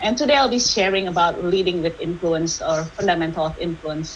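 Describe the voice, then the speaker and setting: A woman's medium-pitched voice, with ordinary pitch variation, is heard amid noticeable background noise. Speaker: workshop speaker, tech industry manager. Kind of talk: online workshop presentation. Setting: video call. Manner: fast when excited; hesitant fillers (uh, um).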